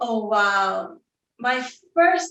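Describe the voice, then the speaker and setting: A woman talks with a Scottish accent. Her pitch is fairly high. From Scotland. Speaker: fashion executive. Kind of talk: interview. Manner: slow.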